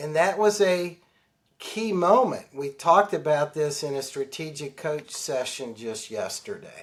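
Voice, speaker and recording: A man talks at a fairly slow pace with a fairly high pitch and lively intonation. It is a normal speaking voice. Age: 60s. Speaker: financial advisor and author. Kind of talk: interview.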